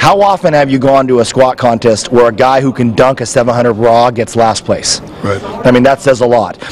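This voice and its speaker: Moderate pace from a man, with light background noise. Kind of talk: interview answer. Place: hall. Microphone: handheld.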